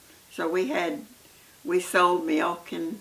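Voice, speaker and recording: Against noticeable background noise, a woman speaks with a fairly low pitch. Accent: American. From Oklahoma. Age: 80s+. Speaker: grandmother telling her life story. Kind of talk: oral history interview. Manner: halting, many hesitations.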